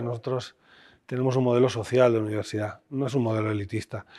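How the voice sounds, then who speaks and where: A man speaks at a very fast pace. The background is quiet. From Spain, León; Spain. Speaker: constitutional law professor and former education official; interviewee, law professor. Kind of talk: interview. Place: studio. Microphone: lapel.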